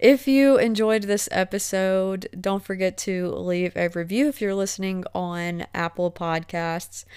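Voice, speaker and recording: A woman speaks at medium pitch with ordinary pitch variation. Her pace is very slow. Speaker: podcast host. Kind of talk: casual interview chat; solo podcast wrap-up. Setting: recorded over video call.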